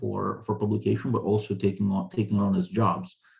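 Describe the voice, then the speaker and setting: A man's fairly low voice comes across as somewhat breathy. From Ukraine, Russian-speaking part. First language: Russian. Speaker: author and translator. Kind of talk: interview. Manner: frequent word repetitions and fillers.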